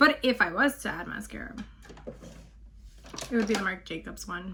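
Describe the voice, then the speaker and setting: At a moderate pace, a woman speaks with big swings in loudness over noticeable background noise. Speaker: beauty vlogger. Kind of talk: makeup tutorial voiceover. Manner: casual.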